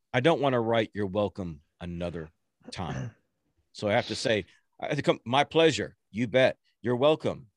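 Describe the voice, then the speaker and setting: With an American accent, a man talks in an animated tone at a moderate pace, leaving long, frequent pauses, the sound dry and close with no echo against a quiet background. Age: 50s. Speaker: motivational speaker and social media influencer. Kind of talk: podcast interview.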